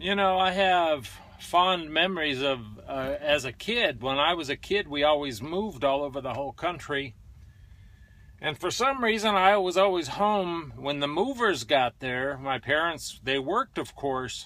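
This man's voice has a bright, sharp tone and a dry sound with no echo. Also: moderate pace. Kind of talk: casual vlog chat. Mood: nostalgic, relaxed storytelling. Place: car. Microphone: phone near.

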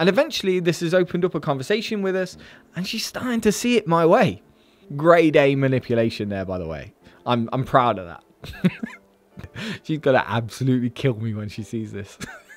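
Delivered at a fairly quick pace, the speech has big swings in loudness, a dry sound with no echo, and faint music in the background. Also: man. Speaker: finance youtuber. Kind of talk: casual vlog chat. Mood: playful, joking. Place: home room. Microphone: studio mic.

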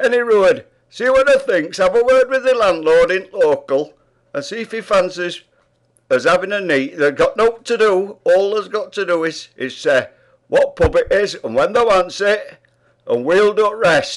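A man with a Yorkshire accent speaks at a moderate pace. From Yorkshire, England. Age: 80s+. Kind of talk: casual talk to camera. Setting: pub.

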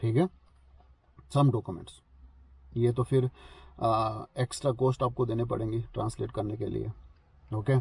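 Somewhat breathy and fairly even in intonation, a man speaks at a fairly slow pace with long, frequent pauses, in a dry sound with no echo. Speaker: vlogger giving visa advice. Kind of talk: casual vlog explainer. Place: car. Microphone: phone near.

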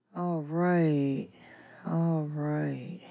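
A woman speaks with a very deep, low pitch and a dark, mellow tone. Her intonation stays monotone and flat. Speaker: gig delivery worker. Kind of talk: casual bedtime vlog talk. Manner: slow.

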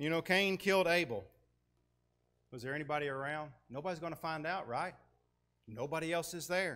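With a Tennessee accent and a bright, sharp tone, a man speaks at a fairly quick pace and fairly high pitch, with ordinary pitch variation and long, frequent pauses. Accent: US Southern (Tennessee). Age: 40s. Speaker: guest preacher. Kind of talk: sermon. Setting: church with congregation. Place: church.

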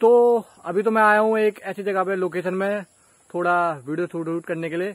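A man with a high pitch speaks at a fairly slow pace with fairly even intonation. The background is quiet and the sound is dry, with no echo. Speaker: vlogger. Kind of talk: casual vlog chat. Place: open country. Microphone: phone near.

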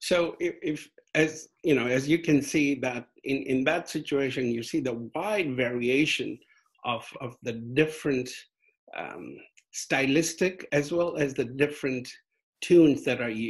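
A man speaks at a moderate pace with ordinary pitch variation, leaving long, frequent pauses. The background is quiet. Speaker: guest lecturer. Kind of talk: lecture. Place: home room. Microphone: video call.

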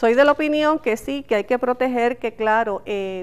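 The woman's pitch sits fairly high, and she keeps a moderate pace. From Puerto Rico. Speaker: telecom regulator chair; interview guest. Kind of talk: news interview. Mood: firm, argumentative. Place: studio.

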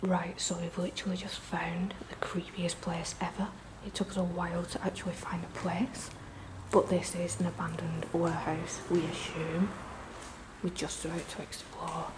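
The speaker is a woman who whispers. Her pace stays moderate. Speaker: urban explorer vlogger. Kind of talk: casual vlog chat. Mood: excited, slightly nervous. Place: open country. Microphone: phone near.

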